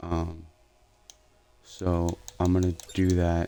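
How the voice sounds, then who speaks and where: Soft-spoken and very deep, low in pitch, a man talks with music in the background. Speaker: gaming streamer. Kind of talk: live gameplay commentary. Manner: halting, many fillers.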